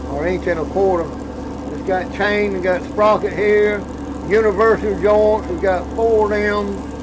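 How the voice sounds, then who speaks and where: A man speaks at a high pitch and a fairly slow pace, with fairly even intonation. Audible room echo and noticeable background noise surround him. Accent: Southern US. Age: 70s. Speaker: shrimp boat captain. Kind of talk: casual chat.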